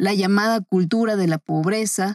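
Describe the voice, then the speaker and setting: With a Mexican accent, a somewhat breathy voice speaks fairly slowly with ordinary pitch variation in a very clean recording that is dry and close, with no echo and a silent background. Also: woman. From Mexico City. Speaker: podcast commentator. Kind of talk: scripted narration.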